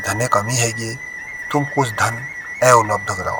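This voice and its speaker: A man speaks with music in the background. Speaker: storyteller. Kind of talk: folk story narration.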